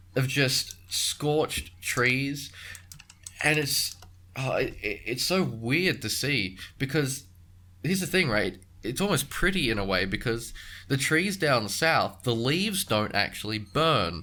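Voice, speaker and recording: Speaking at a fairly slow pace, a man with an Australian accent has a fairly high pitch, a bright, sharp tone and very wide pitch swings. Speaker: podcast host. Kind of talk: casual chat. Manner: halting.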